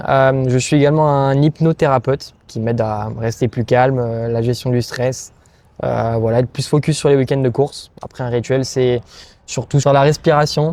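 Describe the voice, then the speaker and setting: A man's dark, mellow tone at medium pitch, with fairly even intonation and a moderate pace. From southern France. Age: 20s. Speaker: racing driver. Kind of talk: interview. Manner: hesitant, many fillers.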